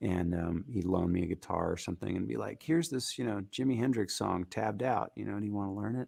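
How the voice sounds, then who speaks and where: A man rattles along at a very fast pace with hardly any pauses. His fairly low voice carries lively intonation and vocal fry. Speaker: singer-songwriter. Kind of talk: interview.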